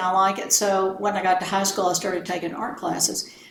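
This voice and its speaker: A woman talks with an American accent. There is audible room echo and noticeable background noise. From South Texas. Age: 70s. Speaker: art appraiser. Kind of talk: casual chat. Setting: at her home.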